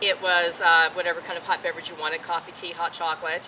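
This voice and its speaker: A woman talks in a fairly low pitch as noticeable background noise carries on. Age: 60s. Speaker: North Pole trekker. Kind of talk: interview answer.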